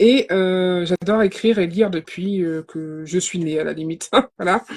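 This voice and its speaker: This woman has a plain, everyday voice at a medium pitch, with fairly even intonation. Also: moderate pace. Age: 30s. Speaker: novelist. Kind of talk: live interview.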